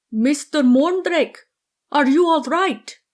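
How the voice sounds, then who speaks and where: A put-on character voice with a high pitch comes at a fairly slow pace. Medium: read story.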